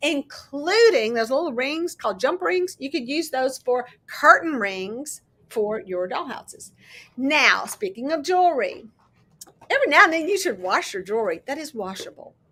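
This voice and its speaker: A raised, projected voice with very wide pitch swings. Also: woman, high pitch for a woman. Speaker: crafting YouTuber. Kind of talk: casual chat. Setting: live stream. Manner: fast; loud.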